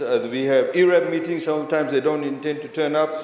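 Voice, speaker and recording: With noticeable background noise and audible room echo, a man speaks at a fairly high pitch. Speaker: government minister in parliament. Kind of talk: parliamentary debate speech. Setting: parliament chamber. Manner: fast.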